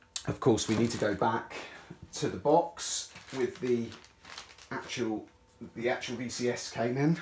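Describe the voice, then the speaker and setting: Against noticeable background noise, a man with a medium pitch and ordinary pitch variation talks at a fairly slow pace, leaving long, frequent pauses. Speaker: tech YouTuber. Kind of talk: unboxing commentary. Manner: casual, halting.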